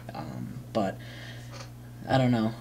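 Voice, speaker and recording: Against noticeable background noise, a man with a fairly low voice speaks fairly slowly, his pitch swinging very widely. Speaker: vlogger. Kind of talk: casual vlog monologue. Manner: halting, many fillers.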